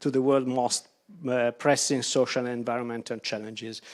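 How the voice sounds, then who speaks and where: On a very clean recording with a silent background, a man speaks with an Italian accent. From Italy. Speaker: architect. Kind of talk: lecture. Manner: halting, many fillers.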